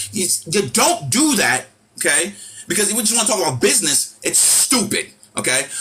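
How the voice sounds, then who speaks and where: A man's raised, projected voice, high-pitched and animated, with a New York accent and music in the background. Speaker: live stream host. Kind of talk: heated rant. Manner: loud.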